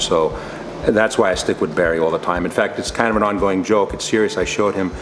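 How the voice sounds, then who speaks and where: Noticeable background noise sits under a speaker with a New York accent who talks at a very fast pace with ordinary pitch variation. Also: man. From New York State. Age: 60s. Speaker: retired state trooper. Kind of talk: client testimonial interview answer.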